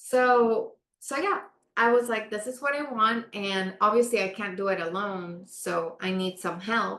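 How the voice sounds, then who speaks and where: A woman speaks with a Spanish accent at a fairly slow pace. Her fairly high voice has a bright, sharp tone and ordinary pitch variation. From Panama. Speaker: architect. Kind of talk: interview.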